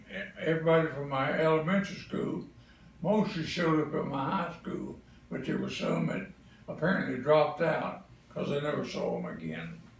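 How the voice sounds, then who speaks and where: A man with a Southern US accent at a moderate pace, with audible room echo and noticeable background noise. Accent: Southern US (Georgia). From Atlanta, Georgia, US South. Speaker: grandparent interviewed about family history. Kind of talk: family oral history interview.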